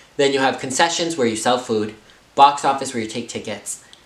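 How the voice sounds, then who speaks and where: A man with an American accent at a very fast pace, ordinary pitch variation, audible room echo and noticeable background noise. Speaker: YouTuber telling a story. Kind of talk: casual storytime vlog.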